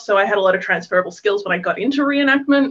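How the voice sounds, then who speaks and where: Ordinary pitch variation marks this voice with an Australian accent. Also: woman. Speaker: historical reenactor. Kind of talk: panel introduction.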